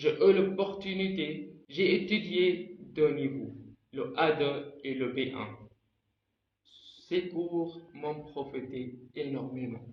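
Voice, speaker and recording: Audible room echo surrounds a man who speaks very slowly at a fairly high pitch, with ordinary pitch variation and long, frequent pauses. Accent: Arabic. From Egypt. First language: Arabic (speaking French). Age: 20s. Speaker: language learner vlogger. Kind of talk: personal vlog talk.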